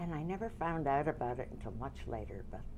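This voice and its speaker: Moderate speech from a woman amid noticeable background noise. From US Midwest, Detroit. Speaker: dance teacher. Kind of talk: oral history interview. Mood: warm, smiling reminiscence. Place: studio.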